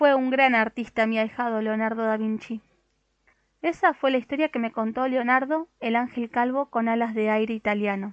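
A woman at a moderate pace, her pitch fairly high. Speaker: audiobook narrator. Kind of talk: dramatic storytelling narration, reading a children's tale aloud with character voices. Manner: animated, wonder-filled and expressive, voicing the angels' gasps and pleased, warm tones.

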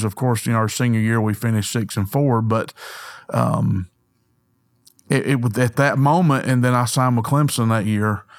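A man with a Southern US accent at medium pitch and a moderate pace, fairly even intonation, on a very clean recording with a silent background. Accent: Southern US (Georgia). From US South, north Georgia. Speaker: former pro football player turned insurance agent. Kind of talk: interview storytelling. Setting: studio.

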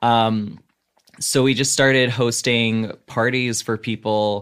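This man has a normal speaking voice with an American accent. His pitch is fairly low and his intonation fairly even. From US South. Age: 30s. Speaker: comedian. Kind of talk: casual chat. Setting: video call.

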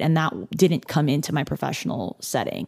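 A woman with an American accent speaks in a very deep, low pitch with vocal fry, a dark, mellow tone and ordinary pitch variation. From California, near Los Angeles. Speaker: chef. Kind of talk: casual interview chat.

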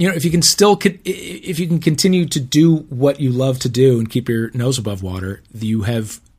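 A somewhat breathy male voice at a moderate pace, with lively intonation. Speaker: TV host and podcaster. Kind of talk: casual chat. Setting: video call.

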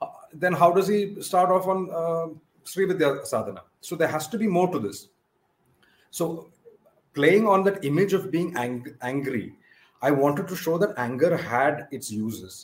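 The speaker has a Keralan accent and lively intonation. The pace is moderate. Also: man, high pitch for a man. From India, Kerala (Malayali). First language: Malayalam. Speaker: author of a mythological novel. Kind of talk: interview.

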